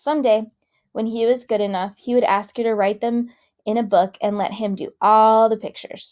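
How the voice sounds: A natural reading voice keeps its intonation fairly level, with little but quiet behind it.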